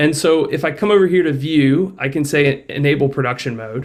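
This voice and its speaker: This man has a plain, everyday voice, fairly high in pitch, moving at a fairly quick pace with lively intonation. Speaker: software developer. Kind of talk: software demo tutorial. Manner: casual, filler-heavy.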